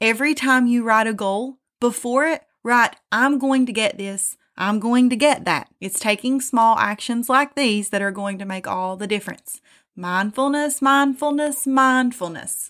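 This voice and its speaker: A woman with an American accent talks slowly-ish, at a fairly slow pace, in a high pitch with ordinary pitch variation. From US South, southern West Virginia. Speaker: self-help podcaster. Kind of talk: motivational monologue.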